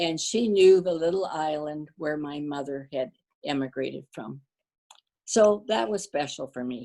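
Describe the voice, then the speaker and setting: A woman with a Canadian accent speaks fairly slowly in a very deep, low pitch and a dark, mellow tone. Her intonation is lively, and her loudness swings widely. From western Canada, Cloverdale, Surrey BC. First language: Danish. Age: 80s+. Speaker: community volunteer. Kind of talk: interview.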